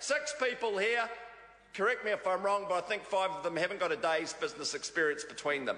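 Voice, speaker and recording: A man's raised, projected voice in a high pitch with a New Zealand accent, lively intonation and a fairly quick pace. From New Zealand, Auckland North Shore. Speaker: politician, government minister. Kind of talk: parliamentary debate speech. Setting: parliament chamber. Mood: mocking, jovial. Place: hall. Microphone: podium.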